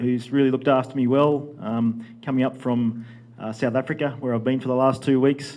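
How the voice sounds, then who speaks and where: Speaking in an Australian accent, the voice keeps a fairly even intonation. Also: man. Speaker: livestock genetics presenter. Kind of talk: conference presentation. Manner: fast.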